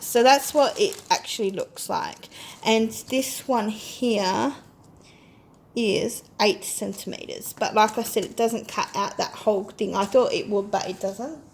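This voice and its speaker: A woman speaks in an ordinary speaking voice at a fairly high pitch, with ordinary pitch variation and a fairly slow pace. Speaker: crafting haul vlogger. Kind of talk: casual product demo.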